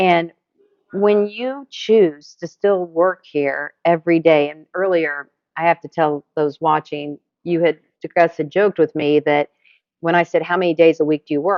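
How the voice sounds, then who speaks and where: A woman with a plain, everyday voice speaks at a moderate pace. Her pitch is fairly low, with ordinary variation. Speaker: interviewer, video host. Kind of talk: interview questions.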